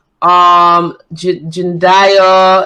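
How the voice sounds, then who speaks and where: Her voice is fairly low in pitch for a woman, with a bright, sharp tone. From Scotland, Edinburgh. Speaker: model, actress and comedian. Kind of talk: casual chat.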